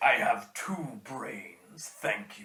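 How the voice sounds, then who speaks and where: Whispering, a man performs a put-on character voice. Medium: actual play. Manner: formal, lofty.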